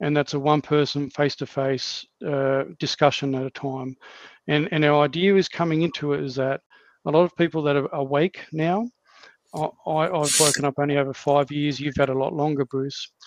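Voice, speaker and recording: With an Australian accent, a man speaks at a moderate pace in a fairly high voice, keeping his intonation fairly even in a dry, close recording with no echo. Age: 50s. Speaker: podcast host. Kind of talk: casual chat.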